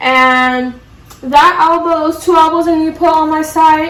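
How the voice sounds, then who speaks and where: Amid noticeable background noise and audible room echo, a woman speaks at a moderate pace in an extremely high voice with fairly even intonation. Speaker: plant hobbyist vlogger. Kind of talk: casual tutorial vlog. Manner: casual, many fillers.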